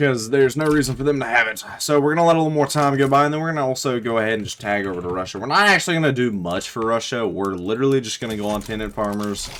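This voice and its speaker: A man with a Southern US accent uses lively intonation at a medium pitch, with hardly any pauses. Noticeable background noise runs underneath. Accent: Southern US drawl. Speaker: gaming YouTuber. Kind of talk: casual gameplay commentary. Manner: casual, joking.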